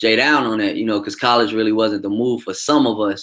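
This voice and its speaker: Over a silent background in a very clean recording, a man with an American accent speaks at a fairly quick pace and medium pitch in a bright, sharp tone. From Chicago South Side. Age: 30s. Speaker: truck driver and livestream host. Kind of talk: casual livestream commentary. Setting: livestream with chat. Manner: animated.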